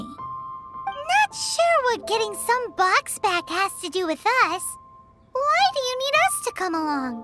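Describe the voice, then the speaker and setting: A cartoonish character voice squeaks at an extremely high pitch. Loud music plays in the background. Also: fairly slow pace. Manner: casual, wry.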